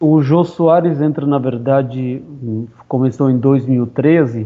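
A man speaks with an Armenian accent and fairly even intonation. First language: Armenian (speaking Portuguese). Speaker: actor. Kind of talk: interview. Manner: halting.

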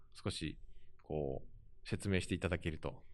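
A man speaks against a quiet background. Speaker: podcast host, book website editor. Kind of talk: interview.

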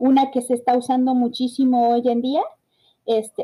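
In a Mexican accent, a woman talks with a high pitch. Her tone is dark and mellow. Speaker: podcast host. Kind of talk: solo podcast talk. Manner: halting, many fillers and repetitions.

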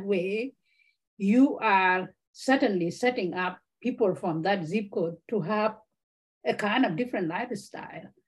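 A woman's somewhat breathy voice sits at a medium pitch, moving at a moderate pace with ordinary pitch variation. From South Sudan. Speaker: author and refugee advocate. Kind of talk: interview conversation.

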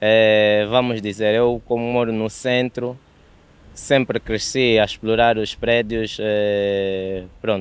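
A man's medium-pitched voice, very slow, with monotone, flat intonation. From Angola, Luanda. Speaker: photography enthusiast. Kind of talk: casual interview.

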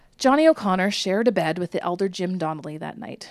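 On a very clean recording with a silent background, a woman with a medium-pitched voice talks at a fairly quick pace in an animated, playful tone with lively intonation. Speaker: podcast co-host. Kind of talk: true-crime storytelling, reading a written account aloud in a dramatic narrative voice; casual chat between sisters. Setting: podcast recording. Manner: animated, playful, giggly; narrative, reading with character voices and pacing.

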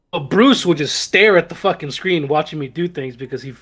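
A man speaks with an American accent at a moderate pace. His pitch is fairly high with ordinary variation, and he has an ordinary speaking voice. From US South. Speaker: podcast host. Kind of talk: casual chat.

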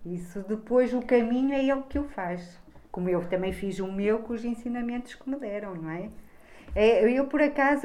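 A woman's fairly high voice, dark and mellow in tone, with ordinary pitch variation and audible room echo. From Trás-os-Montes, Portugal (Bragança). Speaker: school social worker. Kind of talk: interview.

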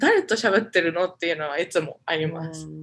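A woman uses an ordinary speaking voice at a fairly quick pace, with ordinary pitch variation. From Japan. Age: 20s. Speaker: MBA student. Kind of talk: interview.

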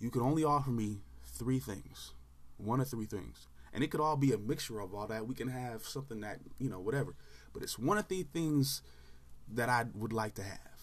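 A somewhat breathy man with an American accent speaks fairly quickly at a medium pitch, his tone animated and his intonation lively. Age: 30s. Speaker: sports podcaster. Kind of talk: casual solo commentary.

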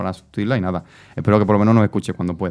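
This man's voice sits fairly low in pitch, and his intonation stays fairly even. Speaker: radio host. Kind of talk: radio talk show. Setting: studio.

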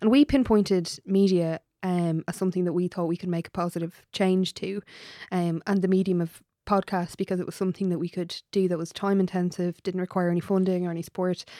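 A woman's dark, mellow tone at a medium pitch, fairly quick and with fairly even intonation, on a very clean recording with a silent background. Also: dry, close sound with no echo. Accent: Irish. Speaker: podcast co-host. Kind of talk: podcast interview.

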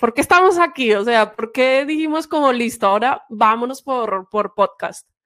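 A high-pitched woman's voice with lively intonation and hardly any pauses. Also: fairly slow pace. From Spain, Santiago de Compostela (Galicia). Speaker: sales trainer, podcast co-host. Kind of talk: casual chat.

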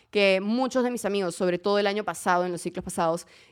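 Very clean recording, silent background. A woman talks in an animated tone with ordinary pitch variation. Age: 20s. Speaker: podcast host and influencer. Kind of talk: casual monologue.

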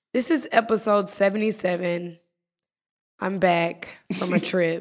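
A woman puts on a raspy character voice at medium pitch. She speaks at a very slow pace.

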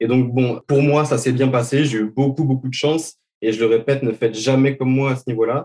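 A man's dark, mellow tone at medium pitch, monotone and flat in intonation, at a fairly quick pace. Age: 20s. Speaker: crypto trader. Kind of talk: interview. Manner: hesitant, many repeated words.

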